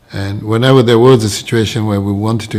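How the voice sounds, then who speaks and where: Fairly low in pitch, a man's voice comes through. He moves at a fairly quick pace. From Kenya, Nairobi. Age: 60s. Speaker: religious convert. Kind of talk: testimony. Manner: hesitant, many fillers.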